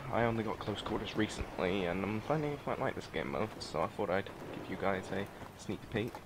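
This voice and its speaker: Over noticeable background noise, a man talks at a fairly quick pace and fairly low pitch with lively intonation. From New Zealand. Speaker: gaming video creator. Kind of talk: gameplay commentary. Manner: hesitant, many fillers.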